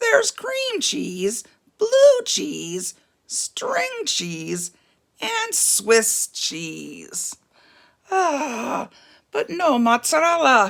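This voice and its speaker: Putting on a character voice, a woman projects a raised, raspy voice at a very slow pace, with long, frequent pauses. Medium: read story. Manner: polite, determined.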